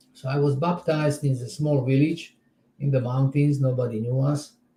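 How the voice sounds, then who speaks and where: Dark and mellow in tone, a man's fairly high voice sounds somewhat breathy. His intonation stays fairly even. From Czechoslovakia. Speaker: spiritual teacher. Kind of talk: interview. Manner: halting.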